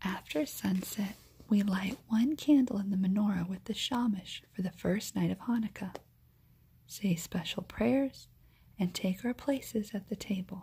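In a soft-spoken whisper with a warm, soothing tone, the voice moves at a fairly slow pace. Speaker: ASMR storyteller. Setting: home recording, low lighting, no background noise. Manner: softly spoken, whispery and slow-paced like a lullaby; warm and soothing, with gentle expressive touches like a savoring 'Mmm'. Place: home room. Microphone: phone near.

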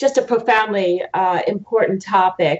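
Pitch shifts in an ordinary way. The voice belongs to a woman. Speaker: judge, remote guest. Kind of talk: interview answer. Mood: warm, enthusiastic. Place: home room. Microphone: video call.

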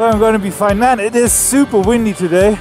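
A man's voice with faint music in the background. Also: dry sound with no echo. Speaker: motorcycle travel vlogger. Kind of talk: casual vlog chat. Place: motorbike.

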